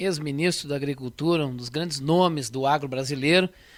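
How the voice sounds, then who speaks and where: With ordinary pitch variation and a fairly high pitch, a man talks in an unremarkable speaking voice. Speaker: radio host. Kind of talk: radio interview; radio presenting.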